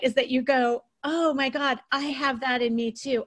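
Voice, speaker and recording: A woman speaks at a high pitch with fairly even intonation. Her pace is moderate. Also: dry, close sound with no echo. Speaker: podcast host and author. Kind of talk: podcast interview conversation.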